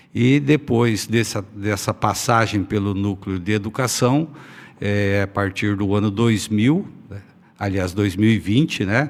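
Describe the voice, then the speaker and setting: An unremarkable speaking voice from a man, fairly low in pitch, at a fairly slow pace with ordinary pitch variation. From Brazil, Paraná (northwest). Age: 60s. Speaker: politician. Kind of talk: interview.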